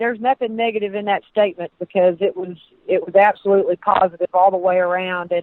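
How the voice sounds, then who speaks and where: A very fast-talking woman in a Southern US accent, her intonation fairly even. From Texas. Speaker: sports administrator. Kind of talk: radio interview. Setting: phone call.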